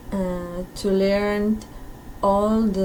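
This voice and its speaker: A woman with a Peruvian accent talks over noticeable background noise, with audible echo in the room. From Peru, Lima. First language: Spanish. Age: 30s. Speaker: teacher. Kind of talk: recorded self-introduction. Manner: halting.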